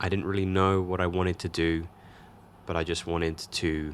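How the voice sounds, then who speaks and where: Very deep and low in pitch, a man talks at a fairly quick pace with an English accent in a very clean recording with a silent background. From England. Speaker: photography YouTuber. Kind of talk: vlog narration.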